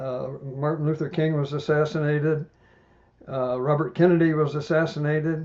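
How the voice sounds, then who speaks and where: With an American accent, a man speaks in a fairly high voice. His intonation is monotone and flat, and his pace is moderate. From US Midwest, Indiana. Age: 80s+. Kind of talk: podcast interview.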